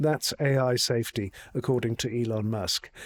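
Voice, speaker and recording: A man's voice comes through dry and close, with no echo. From South Africa. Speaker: tech journalist. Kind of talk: video essay commentary.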